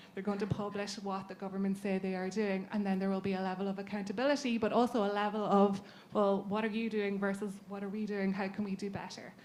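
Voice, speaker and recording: Very fast and with hardly any pauses, a woman talks in a monotone, flat delivery with an Irish accent. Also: medium pitch for a woman. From Ireland. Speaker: patient advocacy leader. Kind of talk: panel talk.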